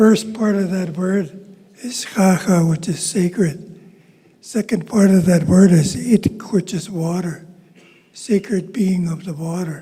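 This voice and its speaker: A man speaks in a high voice. His pace is fairly slow. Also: fairly even intonation. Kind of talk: ceremonial welcome.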